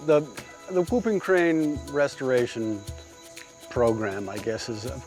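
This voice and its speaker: Over music in the background, a man talks at a fairly slow pace with very wide pitch swings and long, frequent pauses. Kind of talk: interview question to experts.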